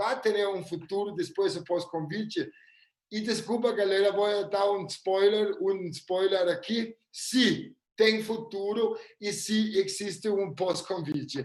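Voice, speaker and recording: The speaker has a non-native accent and ordinary pitch variation. The pace is very slow. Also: man, high pitch for a man. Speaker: futurist. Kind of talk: live webinar presentation. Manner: halting.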